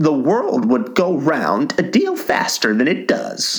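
Growling and gruff, a man puts on a character voice and speaks at a fairly slow pace. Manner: growling, gruff.

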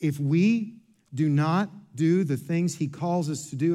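A man speaks with an American accent and ordinary pitch variation. Audible echo fills the room. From Kentucky. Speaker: pastor. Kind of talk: sermon.

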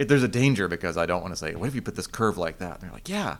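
A man speaks with an American accent. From Asheville area, North Carolina. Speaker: woodworking instructor. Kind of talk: casual interview.

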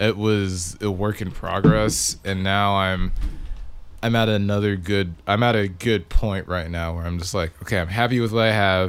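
This man has an ordinary speaking voice. He talks at a moderate pace with fairly even intonation. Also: fairly low pitch for a man. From Victoria, Texas. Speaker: musician (bass player). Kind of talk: casual chat. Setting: studio, in person.

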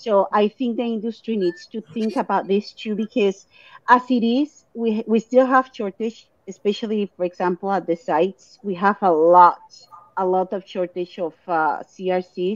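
A woman speaks with a Latin American accent. The sound is dry and close, with no echo. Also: medium pitch for a woman, ordinary pitch variation, moderate pace. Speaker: clinical research site co-owner.

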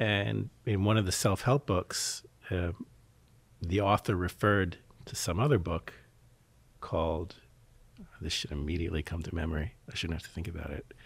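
A man with a very deep, low pitch and an American accent, somewhat breathy, lively intonation, long and frequent pauses, on a very clean recording with a silent background. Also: moderate pace. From US Northeast, Philadelphia. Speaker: mental health worker. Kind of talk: casual chat.

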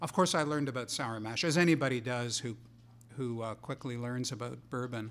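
A normal speaking voice at a fairly quick pace, with ordinary pitch variation. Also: man, medium pitch for a man. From Montreal, Canada. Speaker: whisky historian and researcher. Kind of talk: casual interview chat.

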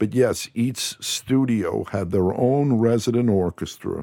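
On a very clean recording with a silent background, a man with an American accent speaks in a dark, mellow tone with ordinary pitch variation. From US Northeast, New Jersey shore. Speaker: film composer. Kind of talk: interview. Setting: studio.

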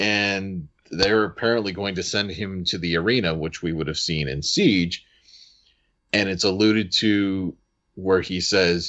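The speaker has an unremarkable speaking voice, ordinary pitch variation and a fairly slow pace. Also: man. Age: 30s. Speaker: podcast host. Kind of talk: casual chat.

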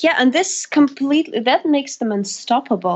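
A woman talks at a moderate pace in a Russian accent. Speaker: singer. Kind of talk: interview.

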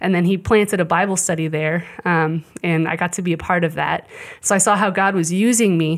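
A fairly low-pitched woman with a US Midwestern accent, fairly quick pace and fairly even intonation. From Kansas City area, US Midwest. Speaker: Bible institute student. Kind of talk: testimony.

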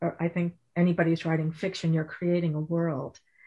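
With an American accent, a woman speaks at a moderate pace in a fairly low, somewhat breathy voice. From Connecticut. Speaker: novelist. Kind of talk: author interview.

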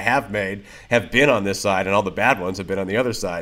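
The recording is very clean with a silent background, carrying a plain, everyday voice with ordinary pitch variation. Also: man. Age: 30s. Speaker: production company co-owner and director. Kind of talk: casual interview chat.

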